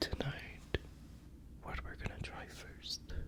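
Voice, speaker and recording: A whispering voice comes through with noticeable background noise behind it. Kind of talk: ASMR whispered trigger words. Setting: close-up microphone, binaural ASMR recording. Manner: whispered, soft-spoken, slow.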